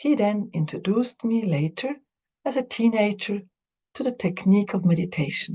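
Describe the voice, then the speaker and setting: A woman's somewhat breathy, dark, mellow voice at medium pitch with a non-native accent and lively intonation. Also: moderate pace. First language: not English. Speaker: Buddhist teacher and psychologist. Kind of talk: lecture.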